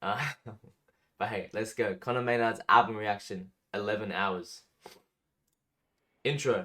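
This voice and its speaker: A man with an Australian accent speaks at a fairly slow pace and fairly low pitch. His intonation is fairly even, with long, frequent pauses. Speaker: music reaction youtuber. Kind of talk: casual reaction commentary. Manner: casual, hesitant with fillers.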